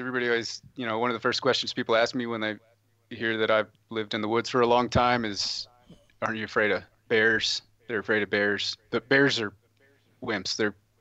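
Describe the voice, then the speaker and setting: The man is heard in a dry sound with no echo against a quiet background. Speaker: remote podcast guest. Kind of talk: interview answer. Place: home room. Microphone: headset.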